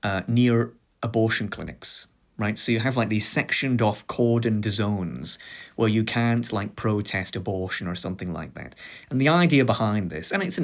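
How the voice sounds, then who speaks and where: A man with a British accent talks at a fairly quick pace in a fairly low voice with ordinary pitch variation, on a very clean recording with a silent background. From Britain. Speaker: video essayist. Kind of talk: lecture. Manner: halting.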